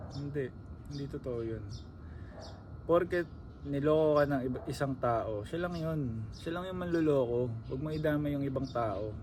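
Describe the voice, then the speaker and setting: A man speaks with a fairly high pitch. Audible room echo is present. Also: ordinary pitch variation, moderate pace. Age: 20s. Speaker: vlogger. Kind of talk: casual monologue. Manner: conversational.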